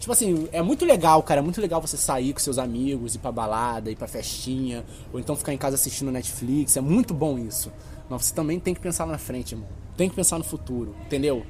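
With music in the background, a man speaks at a very fast pace with a fairly high pitch and lively intonation. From Rio de Janeiro, West Zone. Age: 20s. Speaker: photographer and natural products seller. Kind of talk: casual chat.

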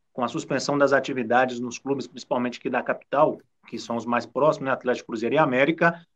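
A man talking at a very fast pace. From Brazil, southern Minas Gerais (São Lourenço). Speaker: TV sports presenter. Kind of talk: casual chat.

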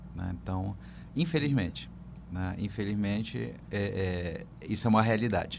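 Audible room echo surrounds a man's fairly low voice with vocal fry. He speaks at a fairly slow pace with very wide pitch swings and long, frequent pauses. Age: 50s. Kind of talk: radio interview. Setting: radio studio.

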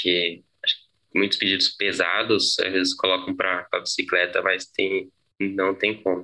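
A man at a fairly slow pace, his loudness very even throughout. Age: 20s. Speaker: bicycle delivery worker. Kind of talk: interview testimony. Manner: halting, many repetitions and fillers.

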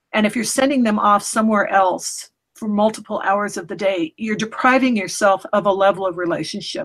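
The voice is somewhat breathy, with ordinary pitch variation. It moves at a fairly quick pace with hardly any pauses. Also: woman. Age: 50s. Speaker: homeschooling mother and blogger. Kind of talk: interview conversation.

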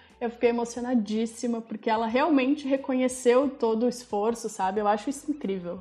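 A woman speaks at a high pitch with fairly even intonation and hardly any pauses. Noticeable background noise runs behind her. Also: fairly quick pace. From Rio Grande do Sul, Brazil (Farroupilha). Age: 20s. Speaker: small business owner, lingerie maker. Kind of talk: casual interview chat.

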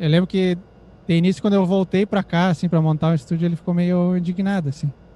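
A man's high-pitched voice, dark and mellow in tone, in a dry, close recording with no echo. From Brazil, Rio Grande do Sul, Santana do Livramento (Uruguay border). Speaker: psytrance music producer and DJ. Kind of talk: casual interview chat.

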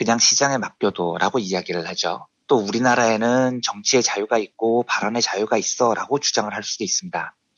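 Using a normal speaking voice, a man talks at a fairly quick pace and medium pitch with ordinary pitch variation. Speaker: economics journalist. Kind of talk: explanatory economics segment.

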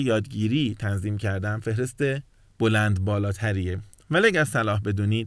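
With a normal speaking voice, a man talks at a moderate pace and medium pitch on a very clean recording with a silent background. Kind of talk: lecture.

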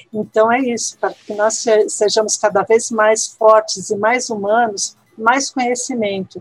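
At a fairly slow pace, a woman speaks in a normal speaking voice. Her pitch is fairly high and her intonation fairly even. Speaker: Spanish language teacher and researcher. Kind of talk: interview.

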